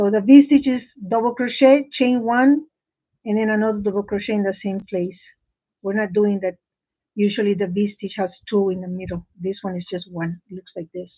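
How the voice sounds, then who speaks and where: The talking moves at a moderate pace. A non-native accent shapes the words. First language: not English. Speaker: crochet teacher. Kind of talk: live tutorial. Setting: live stream from home office. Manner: halting.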